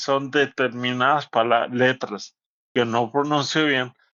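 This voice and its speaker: A man speaks at a medium pitch, at a fairly slow pace. His intonation is flat and monotone. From northern Mexico. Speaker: stroke survivor. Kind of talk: interview. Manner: uneven volume and pace.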